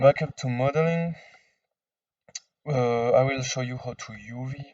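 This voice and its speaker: A man with a non-native accent at a fairly slow pace, in a dry, close sound with no echo. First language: non-native English speaker. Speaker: 3D modding tutorial maker. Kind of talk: software tutorial screen-recording narration. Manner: casual, hesitant with fillers.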